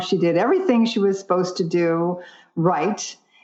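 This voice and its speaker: Her voice is a plain, everyday voice, and this woman speaks in a medium pitch at a moderate pace. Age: 60s. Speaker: vegan nutritionist and brain health advocate. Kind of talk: podcast interview.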